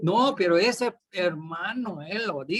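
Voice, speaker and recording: Lively intonation runs through this man's speech. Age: 60s. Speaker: pastor. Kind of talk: sermon. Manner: repetitive emphatic.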